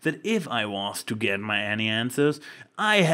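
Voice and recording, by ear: The speaker is reading aloud. The voice stays natural throughout.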